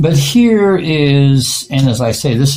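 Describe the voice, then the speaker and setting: Lively intonation from a male speaker. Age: 70s. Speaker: artist. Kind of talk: tarot reading monologue. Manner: halting, many fillers.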